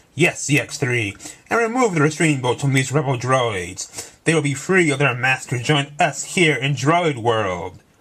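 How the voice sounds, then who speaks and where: Putting on a character voice, a man talks at a moderate pace, his pitch fairly high. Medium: read story. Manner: booming.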